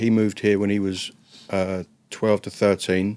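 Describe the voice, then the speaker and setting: Speaking at a fairly slow pace, a man with an English accent and a fairly low pitch sounds dry and close, with no echo. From northwest London, England. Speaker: former prisoner and drug chemist. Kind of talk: interview storytelling.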